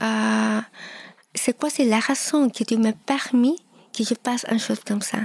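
A woman speaks with a high pitch. Noticeable background noise sits behind her. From Peru (Lima). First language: Spanish (speaking French). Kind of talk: testimony. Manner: halting.

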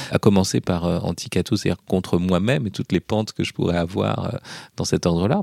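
In a very clean recording with a silent background and a dry, close sound with no echo, a man speaks with a very deep, low pitch, vocal fry and ordinary pitch variation. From Paris region, France (Hauts-de-Seine). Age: 40s. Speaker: philosophy professor and essayist. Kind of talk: interview. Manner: hesitant with fillers.

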